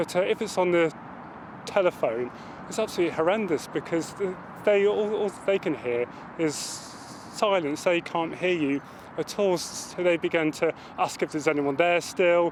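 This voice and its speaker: Noticeable background noise behind a male speaker of high pitch, moderate pace, and ordinary pitch variation. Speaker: serviceman. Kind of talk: interview testimony. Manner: stammering.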